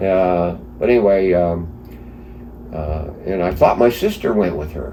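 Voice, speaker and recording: A man with an American accent speaks at a fairly slow pace in a very deep, low voice. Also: ordinary pitch variation. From East Stroudsburg, Pennsylvania. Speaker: flood survivor. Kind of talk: interview answer.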